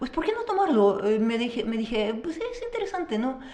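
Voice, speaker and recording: A woman with a Russian accent talks at a fairly quick pace in a high pitch with lively intonation. Background noise is noticeable. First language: Russian (speaking Spanish). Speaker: teacher. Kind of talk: interview. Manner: halting.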